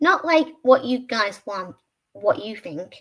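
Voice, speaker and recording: Speaking with an American accent is a woman. Her intonation is lively. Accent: British with some American from Disney films. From Britain. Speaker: streamer. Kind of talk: casual livestream chat. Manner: halting, self-correcting.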